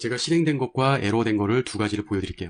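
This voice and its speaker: Over a quiet background, a man with an unremarkable speaking voice talks at a medium pitch with lively intonation. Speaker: programming instructor. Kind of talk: tutorial.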